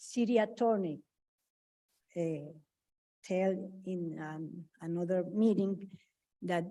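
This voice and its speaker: A woman's dark, mellow tone at a very slow pace. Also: very clean recording, silent background. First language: not English. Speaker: resident speaking at public comment. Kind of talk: public comment at city meeting. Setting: city commission meeting chamber. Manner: halting.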